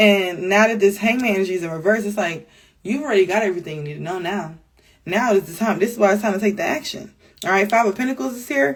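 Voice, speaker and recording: Delivered at a very fast pace, the speech has big swings in loudness and ordinary pitch variation. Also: woman, medium pitch for a woman. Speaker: tarot reader. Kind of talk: tarot reading. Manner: casual.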